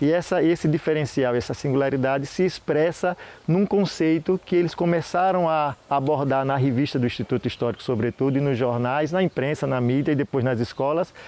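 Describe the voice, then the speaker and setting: A man with a Sergipe accent talks at a fairly quick pace with hardly any pauses, a fairly high pitch, ordinary pitch variation and very even loudness. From Sergipe, Brazil. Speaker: historian. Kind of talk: interview. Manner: halting.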